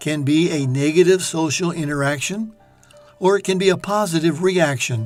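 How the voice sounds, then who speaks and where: The speech moves at a moderate pace, with music in the background. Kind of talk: reflective talk on life.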